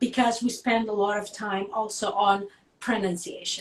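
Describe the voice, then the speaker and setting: At a moderate pace, a woman with a strong Russian accent speaks with fairly even intonation. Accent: thick Russian. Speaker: singer. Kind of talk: interview.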